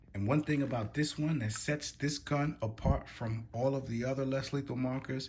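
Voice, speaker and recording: Ordinary pitch variation and a moderate pace in a man's somewhat breathy speech. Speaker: gun reviewer. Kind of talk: product review tutorial. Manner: casual.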